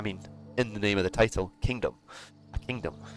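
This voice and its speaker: A man with a Scottish accent, fairly low in pitch with ordinary pitch variation, over music in the background. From Scotland. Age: 20s. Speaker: gaming streamer. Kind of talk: gameplay commentary. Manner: casual, relaxed.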